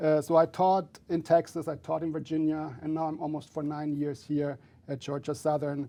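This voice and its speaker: In a German accent, the speaker goes at a fairly quick pace with a dark, mellow tone and monotone, flat intonation against a quiet background. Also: man. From Germany. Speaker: finance professor. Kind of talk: interview. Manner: halting, many fillers.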